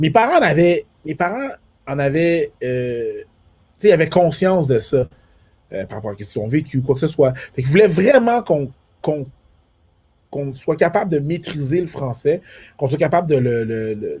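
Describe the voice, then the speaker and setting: Here a man with a fairly high pitch and a dark, mellow tone sounds somewhat breathy. His intonation is lively, broken by long, frequent pauses. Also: moderate pace. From Quebec, Montreal, Haitian family. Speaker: comedian. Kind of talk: casual chat. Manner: repeats words, many fillers.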